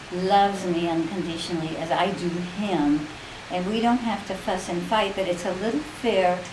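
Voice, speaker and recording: A woman talks with ordinary pitch variation at a moderate pace, with audible room echo and noticeable background noise around her. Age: 70s. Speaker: grandmother being interviewed. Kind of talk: interview, personal reflection.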